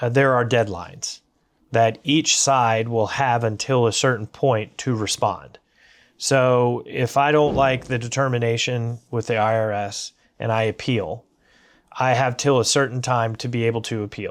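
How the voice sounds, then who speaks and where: In a very clean recording with a silent background, a man with an American accent has a normal speaking voice, a medium pitch, a moderate pace and fairly even intonation. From USA. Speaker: business owner and economist. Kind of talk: interview conversation. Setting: library.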